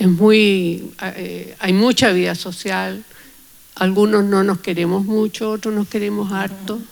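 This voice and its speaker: The voice moves at a very slow pace with monotone, flat intonation. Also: woman, medium pitch for a woman. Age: 70s. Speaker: astronomer. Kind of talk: panel discussion.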